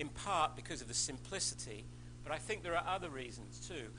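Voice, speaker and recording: A man with an Australian accent talks at a moderate pace. The room echo is audible. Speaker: scientist, invited speaker. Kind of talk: lecture. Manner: halting, many false starts.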